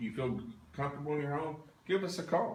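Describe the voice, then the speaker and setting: In a Southern US accent, the speaker moves at a fairly quick pace with ordinary pitch variation and audible room echo. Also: man. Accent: Southern American. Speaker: paranormal investigation team leader. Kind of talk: livestream walkthrough commentary. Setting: livestream at an investigation site. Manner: loud.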